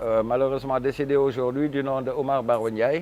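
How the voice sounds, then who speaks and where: A man keeps fairly even intonation at a medium pitch, speaking at a moderate pace. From Senegal, Saint-Louis. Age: 60s. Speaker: musician. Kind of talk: interview.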